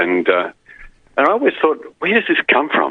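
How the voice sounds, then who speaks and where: A man talks in an Australian accent, moving at a fairly quick pace. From Queensland, Australia. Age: 60s. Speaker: caller, retired radio broadcaster. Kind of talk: call-in radio chat. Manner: halting, repeats words.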